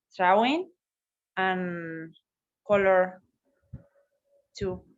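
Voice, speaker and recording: A woman with a Spanish accent, at a very slow pace and with ordinary pitch variation. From Argentina. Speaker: teacher and puppeteer. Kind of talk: casual chat. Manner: halting.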